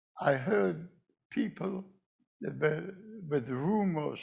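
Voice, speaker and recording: A man's fairly high voice with vocal fry, very wide pitch swings, and a very slow pace. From Poland. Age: 90s. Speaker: Holocaust survivor speaker. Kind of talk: testimony. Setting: commemoration event with audience.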